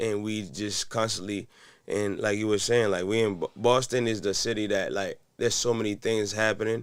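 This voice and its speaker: With flat, monotone intonation, a man speaks at a fairly low pitch. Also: moderate pace, very clean recording, silent background. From Haiti. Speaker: podcast guest. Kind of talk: casual chat.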